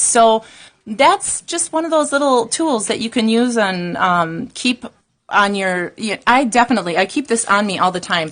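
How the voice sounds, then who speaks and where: A woman speaks at a moderate pace. She has an unremarkable speaking voice. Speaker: nail technician and gel educator. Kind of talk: live stream product demonstration. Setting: live broadcast at training course.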